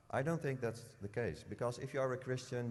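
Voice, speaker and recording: A man speaks with a non-native accent. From Netherlands. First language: Dutch. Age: 40s. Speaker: former politician, convert. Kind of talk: interview testimony. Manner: halting, many fillers.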